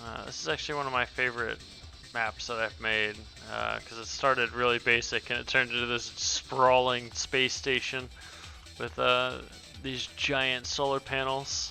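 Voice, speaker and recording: Music plays in the background as a man talks at a moderate pace. His pitch is medium, with ordinary variation. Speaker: indie game developer. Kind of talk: casual game update commentary.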